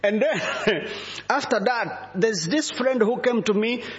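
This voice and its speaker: Noticeable background noise runs under this recording. A man with an African accent speaks at a moderate pace in a high pitch. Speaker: visiting bishop preacher. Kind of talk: sermon.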